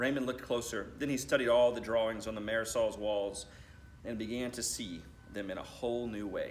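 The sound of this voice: With fairly even intonation, a man talks at a moderate pace in a fairly low pitch, and room echo is audible.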